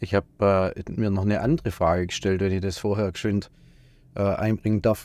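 Fairly even intonation marks this man's voice. He talks at a fairly quick clip. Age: 30s. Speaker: tradesman, business owner. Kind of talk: casual chat. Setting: studio. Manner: hesitant, many fillers.

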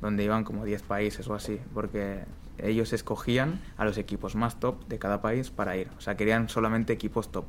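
With fairly low pitch, the man talks in a flat, monotone intonation. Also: moderate pace. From Spain. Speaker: street footballer. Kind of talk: interview. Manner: casual.

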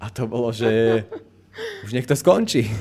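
Fairly slow speech from a man in an ordinary speaking voice with ordinary pitch variation. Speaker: youtuber and podcast host. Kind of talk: casual chat.

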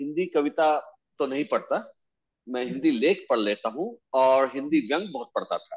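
A man speaks with a Tamil accent. His pitch is fairly high. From India, Bhopal. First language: Tamil (speaking Hindi). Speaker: author and blogger. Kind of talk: casual chat.

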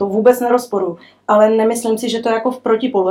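At a very fast pace, a woman speaks with a dark, mellow tone. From Cuba. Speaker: business executive. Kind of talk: interview.

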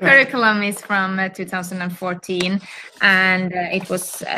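A woman speaks with a Swedish accent in a bright, sharp tone and monotone, flat intonation. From Finland, Helsinki. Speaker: school principal. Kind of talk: casual interview. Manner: halting.

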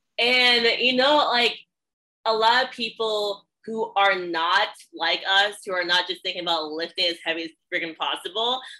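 A woman uses an ordinary speaking voice at a moderate pace, her pitch medium and its variation ordinary. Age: 20s. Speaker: podcast host and powerlifting coach. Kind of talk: casual interview chat.

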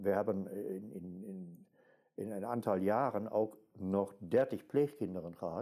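Very slowly and with ordinary pitch variation, a man with a German accent speaks in a fairly low, dark, mellow tone. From Germany. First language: German (speaking Dutch). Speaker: archaeologist, mental health patient. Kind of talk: interview. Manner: halting.

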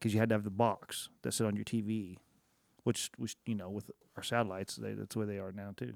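In an American accent, a man with a fairly low pitch speaks at a very fast pace with fairly even intonation, the sound dry and close with no echo in a very clean recording with a silent background. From Oklahoma. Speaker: podcast co-host. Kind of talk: casual chat. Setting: studio.

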